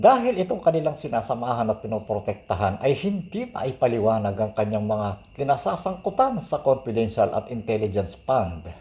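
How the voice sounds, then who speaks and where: A man's somewhat breathy voice with a dark, mellow tone, medium pitch, very wide pitch swings, a fairly quick pace and hardly any pauses. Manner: earnest, admonishing, preachy; firm, emphatic.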